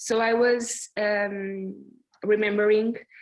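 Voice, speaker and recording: A woman talks in a non-native accent at a fairly high pitch. Her intonation is monotone and flat, over a quiet background. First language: Portuguese. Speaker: performance artist. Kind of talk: artist conversation. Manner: halting.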